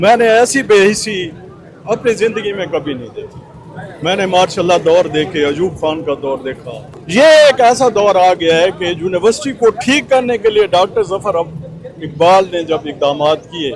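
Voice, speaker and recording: A man talks in a high pitch. Noticeable background noise runs underneath. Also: lively intonation. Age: 70s. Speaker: protester, local elder. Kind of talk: protest interview.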